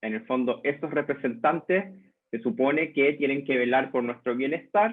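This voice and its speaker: This man speaks with a Chilean accent. His pitch is medium. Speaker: lecturer, journalist and communication researcher. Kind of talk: lecture. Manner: hesitant fillers (eh, em).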